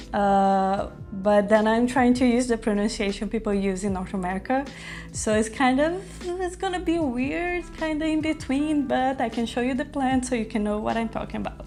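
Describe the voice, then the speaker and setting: Faint music plays in the background as a woman with a fairly high voice speaks in a lively intonation. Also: moderate pace. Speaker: plant content creator; plant vlogger. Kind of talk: casual vlog; casual vlog chat. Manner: unscripted, with many fillers. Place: home room.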